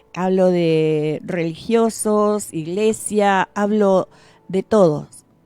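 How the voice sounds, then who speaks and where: A woman's medium-pitched voice at a very slow pace, with ordinary pitch variation and music playing behind her. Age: 50s. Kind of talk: radio reflection. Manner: halting.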